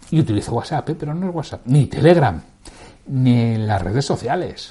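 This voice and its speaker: This man talks at a moderate pace with a dark, mellow tone. His voice is somewhat breathy. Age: 60s. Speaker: podcast host, sales leadership coach. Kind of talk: casual solo podcast talk.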